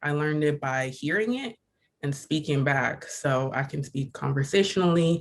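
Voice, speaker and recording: A man's fairly high voice with an American accent, fairly slow pace, very clean recording and a silent background. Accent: sounds American-born. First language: Igbo. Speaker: student exhibitor. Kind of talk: panel discussion.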